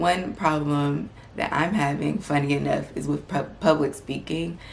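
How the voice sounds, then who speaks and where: A woman's calm tone at a fairly slow pace, with noticeable background noise. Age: 20s. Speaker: medical student and lifestyle vlogger. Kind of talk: vlog advice talk.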